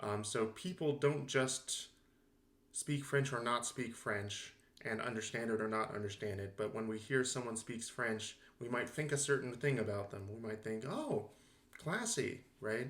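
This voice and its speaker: A man speaks with an American accent at a fairly slow pace, his pitch medium and its variation ordinary. The room adds audible echo. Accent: Southern California, somewhat blunted. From Southern California. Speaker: linguistics lecturer. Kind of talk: lecture. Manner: casual, with fillers.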